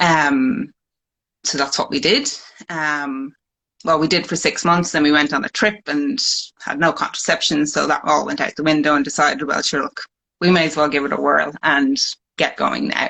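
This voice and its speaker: This woman speaks with an Irish accent at a very deep, low pitch, her tone bright and sharp. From Ireland. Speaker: fertility patient sharing her story. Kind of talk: personal testimony. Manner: hesitant, many fillers.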